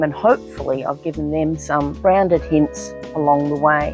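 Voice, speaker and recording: A woman with an Australian accent speaks at a moderate pace over music in the background. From Australia (Victoria). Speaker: gardener and decluttering business owner. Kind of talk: casual talk to camera, personal introduction.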